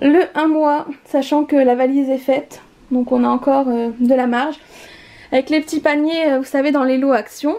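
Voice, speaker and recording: Noticeable background noise sits behind a woman speaking at a moderate pace in a high voice. Her intonation is fairly even and her loudness very even. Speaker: YouTuber, expectant mother. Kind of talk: home tour vlog.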